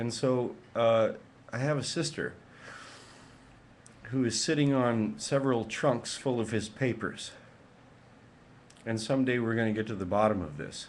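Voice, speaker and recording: A man at a medium pitch and moderate pace, with ordinary pitch variation and long, frequent pauses. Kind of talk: emotional webcam rant to camera.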